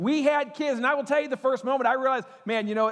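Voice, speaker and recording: A man speaks very fast in an animated tone. His intonation is lively. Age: 40s. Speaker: pastor. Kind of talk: sermon.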